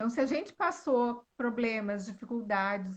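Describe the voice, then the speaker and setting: Somewhat breathy speech in a strong gaúcho accent, with fairly even intonation. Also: woman. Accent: gaúcho, southern Brazilian, still strong. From Rio Grande do Sul, southern Brazil. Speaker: author and speaker on women's identity. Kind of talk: live-stream interview. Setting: online live stream. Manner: elegant, refined.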